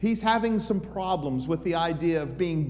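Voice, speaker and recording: Lively intonation carries a man's speech at a moderate pace. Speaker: preacher. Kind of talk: sermon. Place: church.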